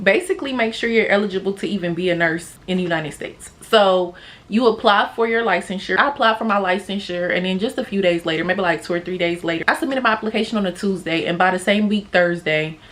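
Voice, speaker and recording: Speaking at a very fast pace with hardly any pauses, a woman holds a medium pitch with ordinary pitch variation over noticeable background noise. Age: 20s. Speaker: vlogger, new nursing graduate. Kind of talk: casual vlog talk to camera.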